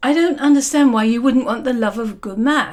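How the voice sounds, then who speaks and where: A woman's gruff, put-on character voice, high in pitch and at a fairly quick pace. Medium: read story.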